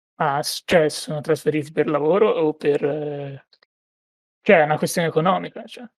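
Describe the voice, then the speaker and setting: A man with an Italian accent talks at a fairly high pitch and a fairly quick pace, his loudness swinging widely. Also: ordinary pitch variation, dry, close sound with no echo. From Italy. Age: 20s. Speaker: gaming community guest. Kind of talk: casual chat. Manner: halting.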